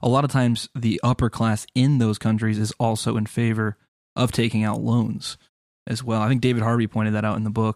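A man's monotone, flat delivery, dry and close with no echo, on a very clean recording with a silent background. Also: medium pitch for a man, fairly quick pace. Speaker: podcast co-host. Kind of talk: casual political discussion.

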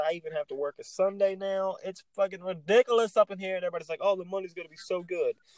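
A man talks at a very fast pace, his pitch high for a man, with a Texan accent. The sound is dry and close, with no echo. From Texas. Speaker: podcast co-host. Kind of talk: casual chat.

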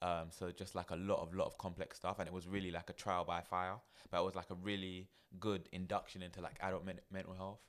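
Talking at a very fast pace with a London accent, a man's very deep, low voice stays monotone, with flat intonation. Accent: London English (multicultural London). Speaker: therapist and managing director of a mental health organisation. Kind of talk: casual chat.

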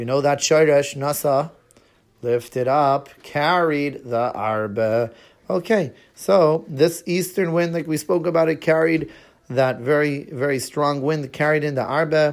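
With an Israeli accent, a man talks at a fairly slow pace in a fairly high pitch with ordinary pitch variation, recorded very cleanly against a silent background. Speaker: teacher of a children's Torah class. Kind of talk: children's Torah lesson podcast.

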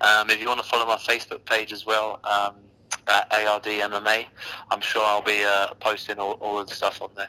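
A bright, sharp voice with a London accent speaks at a moderate pace in a monotone, flat intonation. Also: man, fairly low pitch for a man. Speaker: MMA fighter. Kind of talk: interview. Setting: online call, at a train station.

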